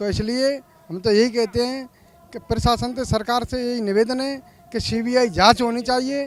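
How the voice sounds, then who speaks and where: A man with an extremely high pitch talks at a moderate pace with fairly even intonation. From Dholpur, Rajasthan. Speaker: protester. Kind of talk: street interview.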